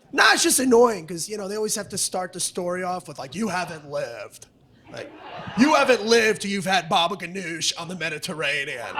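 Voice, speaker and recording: A man speaks in a raised, projected voice at a fairly quick pace, with an American accent, high pitch, lively intonation and an angry tone. His loudness swings widely over noticeable background noise. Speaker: stand-up comedian. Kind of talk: stand-up. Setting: stage with audience. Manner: aggressive, sounds angry.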